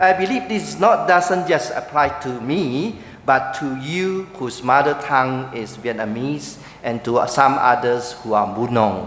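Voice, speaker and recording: Over noticeable background noise and audible room echo, a man of medium pitch with a Chinese accent talks at a fairly slow pace with lively intonation. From Malaysia. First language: Mandarin Chinese (speaking Vietnamese). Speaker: pastor. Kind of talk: speech at church ceremony. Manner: pausing for interpreter.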